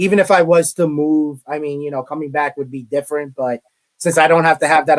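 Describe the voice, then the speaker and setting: In a Brooklyn accent, a man with a fairly high pitch talks at a fairly quick pace, the sound dry and close with no echo. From New York, Brooklyn. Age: 30s. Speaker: college media relations director. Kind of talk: interview.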